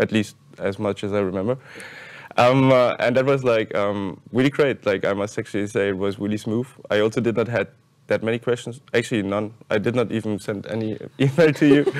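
A man talks with a German accent at a fairly quick pace. His intonation stays fairly even. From Germany. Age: 20s. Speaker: university student. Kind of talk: panel discussion. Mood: relaxed, friendly. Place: hall. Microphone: lapel.

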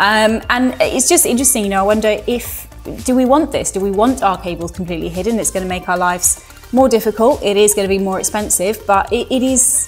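Talking at a very fast pace with ordinary pitch variation, a woman is heard over faint music in the background. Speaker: presenter. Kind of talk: presenter talk to camera. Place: studio.

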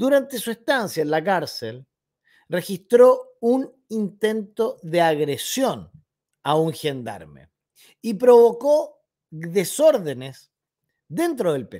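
Over a quiet background, a man with a high pitch and a dark, mellow tone speaks very slowly, with very wide pitch swings and long, frequent pauses. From Chile. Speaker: political commentary youtuber. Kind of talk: opinion commentary monologue. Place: home room.

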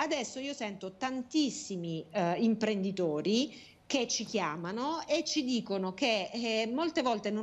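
A woman talks at a fairly slow pace. Her fairly high pitch moves in very wide swings. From southern Italy, Taranto. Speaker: national politician. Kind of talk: political interview. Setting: video call. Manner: hesitant, many fillers. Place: home room. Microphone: earbuds.

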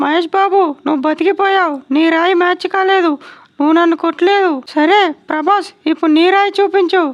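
A woman does a cartoonish character voice at an extremely high pitch. Her intonation stays fairly even at a moderate pace. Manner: scolding, threatening, blunt.

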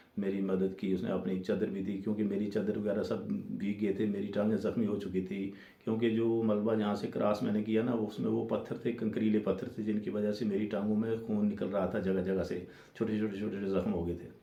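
A man with a fairly low voice speaks in a flat monotone, and the room echo is audible. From Jammu and Kashmir, Rajouri. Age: 50s. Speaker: storyteller. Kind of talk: personal testimony.

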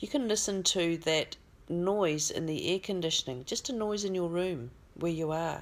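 A woman's fairly low voice with an Australian accent, a gentle, calm tone and ordinary pitch variation. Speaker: spiritual healer and channeller. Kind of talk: guided meditation. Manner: slow, calm, soothing; gentle, instructive. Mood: calm, soothing. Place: home room. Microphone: phone near.

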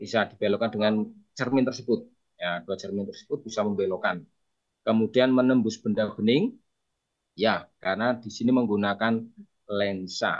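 Here a man speaks at a moderate pace. His intonation is fairly even. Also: quiet background. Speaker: teacher. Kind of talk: online tutorial session.

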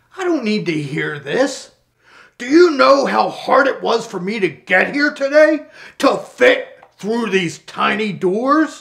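A man puts on a character voice at an extremely high pitch. He talks at a fairly slow pace. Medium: short film. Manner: pompous, self-pitying.

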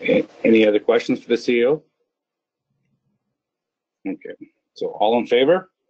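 At a moderate pace, a man speaks at medium pitch with ordinary pitch variation. His slightly mellow tone carries a slightly husky edge, and the sound is dry and close with no echo.

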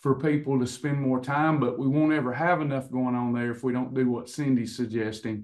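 A man speaks at a fairly quick pace with hardly any pauses. His intonation is fairly even, and the background is quiet. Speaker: coach hosting online class. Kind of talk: casual talk to class. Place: office. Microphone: video call.

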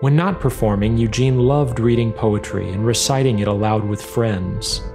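There is music in the background. A man talks at a moderate pace and medium pitch, with ordinary pitch variation. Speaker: filmmaker. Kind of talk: documentary narration.

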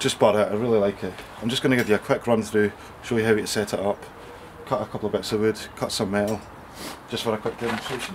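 Against noticeable background noise, a man with a Scottish accent speaks very fast at a fairly low pitch in a monotone, flat intonation. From Scotland. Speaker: amateur woodworker. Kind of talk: casual tool demonstration. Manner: casual, quick. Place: garden. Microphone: camera far.

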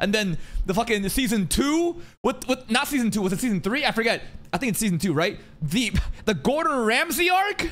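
Talking fairly quickly, a man lets his pitch swing very widely. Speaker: streamer. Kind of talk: casual reaction commentary. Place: home room. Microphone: studio mic.

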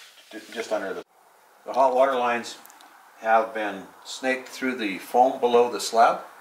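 With audible room echo and light background noise, a man talks at a fairly slow pace. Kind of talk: tutorial. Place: home room. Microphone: camera far.

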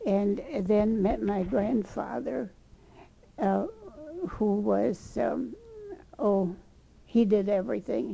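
This is a woman speaking. Her pace is very slow. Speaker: interviewee. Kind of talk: interview answer. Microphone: old recording.

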